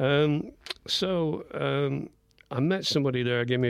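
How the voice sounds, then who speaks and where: In a Lancashire accent, a man speaks at a fairly slow pace with ordinary pitch variation. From northern England, Blackburn, Lancashire. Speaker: visual artist. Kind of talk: radio interview. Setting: radio studio. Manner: halting.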